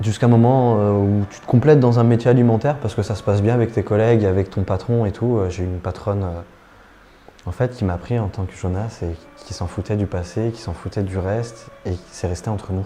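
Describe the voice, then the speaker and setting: Noticeable background noise sits under a man's voice. He talks fairly quickly in a fairly low pitch with ordinary pitch variation. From France, Lyon. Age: 20s. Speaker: actor. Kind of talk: interview testimony. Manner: soft-spoken; natural, hesitant.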